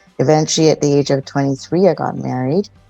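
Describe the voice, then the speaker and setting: A woman with a Canadian accent and a very deep, low pitch, with music playing in the background. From Toronto, Canada. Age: 40s. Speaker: relationship counsellor. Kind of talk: interview.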